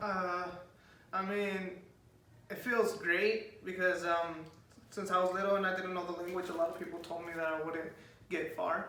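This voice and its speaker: With a slight Spanish accent, a man speaks in a high, raised, projected voice at a moderate pace, his intonation monotone and flat, with long, frequent pauses, noticeable background noise and audible room echo. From US, Spanish-speaking farmworker family. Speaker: college student. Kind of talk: interview. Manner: hesitant, many fillers.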